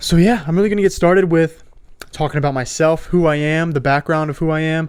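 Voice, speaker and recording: Speaking with a Florida accent, a man keeps a fairly quick pace and fairly even intonation at a fairly high pitch. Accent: American, Florida. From South Florida. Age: 20s. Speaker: podcast host. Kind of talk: testimony. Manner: casual.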